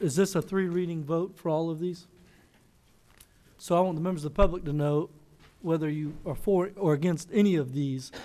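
The man's tone is dark and mellow. He talks at a fairly quick pace with fairly even intonation. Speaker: council member. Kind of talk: meeting discussion remarks. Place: hall. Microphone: podium.

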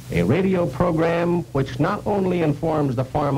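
A man against noticeable background noise. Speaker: sales executive. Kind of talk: corporate sales training film narration.

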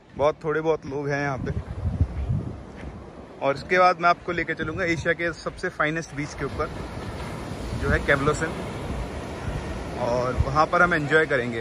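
Long, frequent pauses break up the speech, which has a dry sound with no echo and noticeable background noise. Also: man, fairly slow pace. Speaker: travel vlogger. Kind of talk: casual vlog chat. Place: beach. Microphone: phone near.

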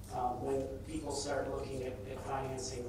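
A man with an American accent talks at a moderate pace. Strong room echo and noticeable background noise surround him. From United States. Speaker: energy consultant. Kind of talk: keynote speech. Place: hall.

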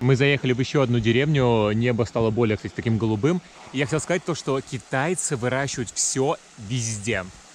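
A man at a very fast pace with ordinary pitch variation, the sound dry with no echo and light background noise. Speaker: travel vlogger. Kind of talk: casual vlog chat. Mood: curious, upbeat.

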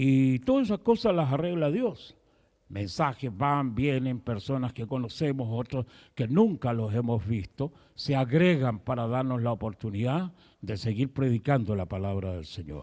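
Against a quiet background, a man with a medium pitch and a dark, mellow tone speaks fairly slowly with lively intonation. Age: 70s. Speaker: pastor. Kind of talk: sermon. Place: church. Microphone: handheld.

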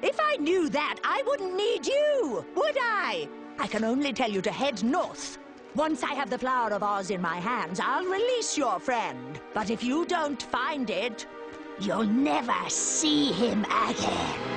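Over loud background music, a cartoonish character voice speaks at a fairly slow pace with a fairly high pitch. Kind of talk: animated villain acting. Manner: menacing, imperious, snapping.

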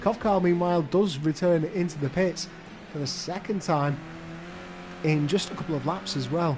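Amid noticeable background noise, a man with a high pitch and ordinary pitch variation speaks with long, frequent pauses. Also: moderate pace. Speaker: sim-racing commentator. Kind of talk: live race commentary. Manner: reacts to crashes as they happen.

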